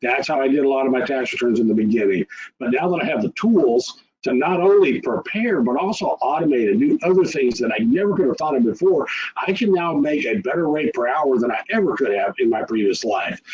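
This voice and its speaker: With a Texas accent, a man at a fairly high pitch talks at a fairly quick pace with very wide pitch swings. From rural Texas. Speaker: tax preparer. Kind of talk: webinar presentation.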